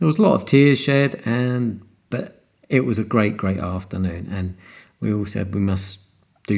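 A man's fairly low voice with a British accent, very clean recording and silent background. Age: 50s. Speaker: podcast host and cardiac arrest survivor. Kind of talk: solo monologue podcast. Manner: hesitant, with fillers.

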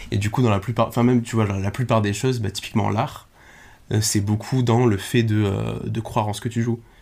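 A man speaks at a fairly quick pace in a somewhat breathy voice with monotone, flat intonation. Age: 20s. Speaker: guest sharing life experience. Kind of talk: casual chat.

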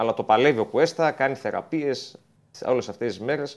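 Here is a man with an unremarkable speaking voice. His pitch varies in an ordinary way. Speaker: football reporter. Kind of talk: sports report by phone.

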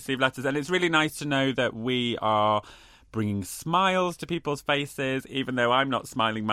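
The text is read aloud in a natural voice. The intonation is lively.

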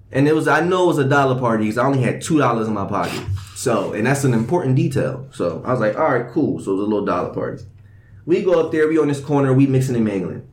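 This man's medium-pitched voice races along at a very fast pace with lively intonation. Room echo is audible. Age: young. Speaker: podcast host. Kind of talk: casual chat. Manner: animated.

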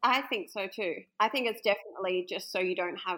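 The recording is very clean with a silent background as a woman with an Australian accent speaks at a medium pitch in a bright, sharp tone. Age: 30s. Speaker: bride interviewed about her wedding. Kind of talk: casual interview.

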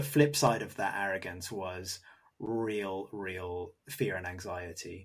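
Against a silent background in a very clean recording, a somewhat breathy man talks at a fairly slow pace with lively intonation. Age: 30s. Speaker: podcast host. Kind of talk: casual chat; scripted narration.

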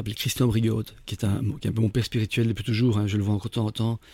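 Somewhat breathy and dark, mellow in tone, a man talks at a very fast pace in a very clean recording with a silent background and a dry, close sound with no echo. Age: 50s. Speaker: entrepreneur turned candle maker. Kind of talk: interview. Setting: studio. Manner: hesitant, frequent repetitions.

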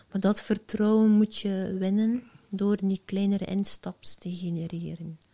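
Speaking in a Flemish accent, a woman uses a somewhat breathy, dark, mellow tone at medium pitch, with monotone, flat intonation and a fairly slow pace, recorded dry and close with no echo. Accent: Flemish Dutch. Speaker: entrepreneur, founder of a social media agency. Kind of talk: casual interview.

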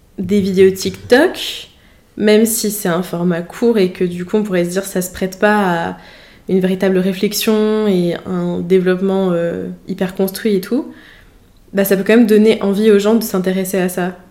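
Her tone dark and mellow, a woman speaks at a moderate pace and medium pitch with monotone, flat intonation. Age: 20s. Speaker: podcast host, engineering student. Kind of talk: casual interview. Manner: hesitant, many fillers.

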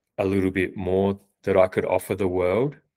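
On a very clean recording with a silent background, a man speaks with an Australian accent at a fairly low pitch and a fairly slow pace. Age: 40s. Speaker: freelance copywriter. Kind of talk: casual interview chat. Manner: hesitant, many fillers.

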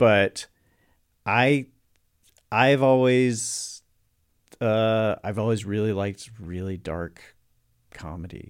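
The speaker has an American accent and talks at a very slow pace, with long, frequent pauses and big swings in loudness. Pitch varies in an ordinary way, and the recording is very clean with a silent background. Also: man, fairly low pitch for a man. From US South, North Carolina. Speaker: actor. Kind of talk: casual chat.

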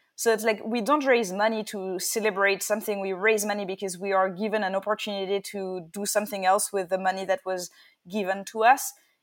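A woman with a French accent speaks at a fairly quick pace. Her pitch sits in the medium range, and her intonation stays fairly even. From France. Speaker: startup founder and CEO. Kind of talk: interview. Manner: halting with many fillers.

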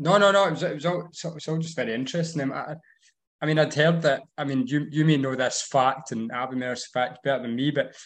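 Fairly high pitch for a man, fairly quick pace, ordinary pitch variation, in a Scottish accent. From Scotland, Ayrshire. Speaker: farmer. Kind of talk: casual chat. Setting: video call.

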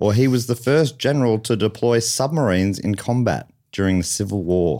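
With an Australian accent, a man talks at medium pitch with ordinary pitch variation. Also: very clean recording, silent background. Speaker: comedian and game show host. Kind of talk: comedy game show hosting. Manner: animated.

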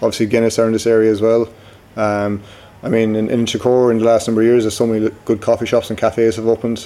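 Speaking very fast in a Cork accent, a man keeps a monotone, flat intonation at medium pitch. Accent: Cork Irish. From Cork, Ireland. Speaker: brewery co-founder. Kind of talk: casual interview.

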